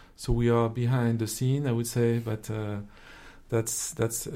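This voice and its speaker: Using a monotone, flat intonation, a man with a French accent speaks at a moderate pace in a medium pitch with a dark, mellow tone. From France. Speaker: investment officer, former social entrepreneur. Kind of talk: interview conversation.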